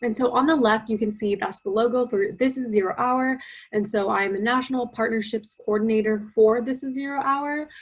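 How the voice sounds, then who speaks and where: Speaking with an American accent in a normal speaking voice, a woman goes at a fairly quick pace with hardly any pauses, her pitch fairly high and her intonation fairly even. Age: young. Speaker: youth climate activist. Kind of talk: presentation.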